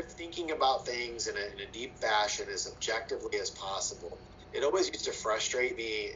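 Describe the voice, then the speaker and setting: With an American accent, a man talks at a moderate pace over noticeable background noise and audible room echo. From Ohio, US Midwest. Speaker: political science professor. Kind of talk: interview.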